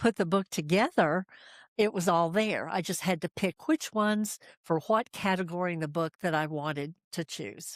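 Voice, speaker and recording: On a very clean recording with a silent background and a dry, close sound with no echo, a woman speaks at a moderate pace with a fairly low pitch and ordinary pitch variation. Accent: American. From US Appalachia, Asheville, North Carolina. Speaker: storyteller and author. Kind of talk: interview.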